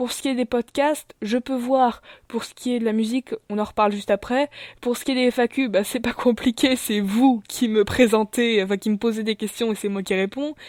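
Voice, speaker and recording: A woman speaks at a moderate pace and a fairly high pitch with fairly even intonation. The recording is very clean, with a silent background. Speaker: YouTuber. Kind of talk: channel presentation vlog. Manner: hesitant, many fillers.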